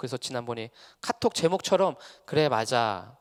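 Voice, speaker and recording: A man with vocal fry and ordinary pitch variation, in a dry, close sound with no echo. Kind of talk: lecture. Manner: fast.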